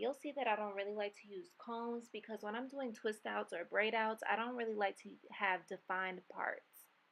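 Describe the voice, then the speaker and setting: An unremarkable speaking voice runs at a fairly quick pace. There are hardly any pauses, and the intonation stays fairly even. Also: woman. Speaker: beauty vlogger. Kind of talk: tutorial.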